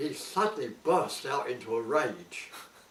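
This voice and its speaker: A man's very slow speech against noticeable background noise. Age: old. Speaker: war veteran. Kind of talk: interview answer.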